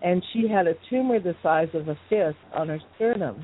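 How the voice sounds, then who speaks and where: With a plain, everyday voice, a woman speaks at a fairly low pitch with ordinary pitch variation. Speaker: tonal alchemist and spiritual teacher. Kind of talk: interview conversation. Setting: phone call.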